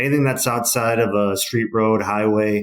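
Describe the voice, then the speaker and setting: Speaking with a Wisconsin accent, a man uses a fairly low pitch at a moderate pace. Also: very clean recording, silent background. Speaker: trade association CEO. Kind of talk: podcast interview. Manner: casual, many fillers.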